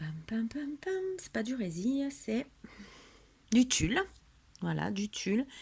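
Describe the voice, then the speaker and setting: A woman speaks at a very slow pace with long, frequent pauses, her fairly high pitch making very wide swings. Her loudness also swings widely. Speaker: scrapbooking crafter. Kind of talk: craft tutorial show-and-tell. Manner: casual, hesitant with fillers.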